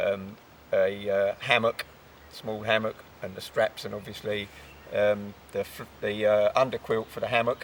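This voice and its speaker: A man talks at a fairly slow pace, with long, frequent pauses. Noticeable background noise runs underneath. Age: 60s. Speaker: outdoorsman showing his rucksack. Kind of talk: casual chat.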